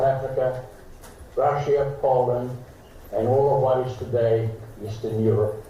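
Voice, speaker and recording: There is audible room echo and noticeable background noise. A man speaks at a medium pitch and a fairly slow pace. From Slovakia. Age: 80s+. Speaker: Holocaust survivor. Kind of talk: formal speech. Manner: formal.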